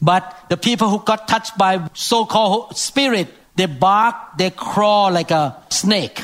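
A man's high voice at a fairly slow pace, with very even loudness and ordinary pitch variation. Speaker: preacher. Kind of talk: sermon.

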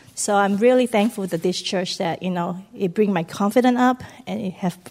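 This woman has an unremarkable speaking voice at medium pitch. Her pitch variation is ordinary. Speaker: church member giving testimony. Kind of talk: testimony. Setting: church.

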